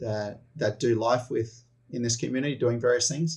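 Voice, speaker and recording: A somewhat breathy man speaks at medium pitch with an Australian accent. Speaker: missionary leader. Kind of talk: interview.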